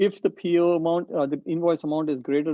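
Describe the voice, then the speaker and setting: This man talks at a fairly quick pace. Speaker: procurement trainer. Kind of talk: training Q&A session. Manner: fast.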